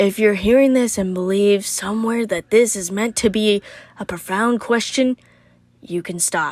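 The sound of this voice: A woman's put-on character voice, gravelly and menacing, medium in pitch, at a fairly slow pace.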